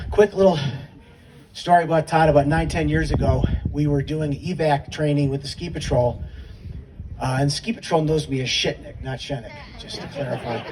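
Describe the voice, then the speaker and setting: Over noticeable background noise, a man with an American accent speaks at a fairly high pitch and a moderate pace, with ordinary pitch variation and long, frequent pauses. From upstate New York. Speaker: memorial speaker, adaptive sports volunteer. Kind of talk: memorial tribute speech.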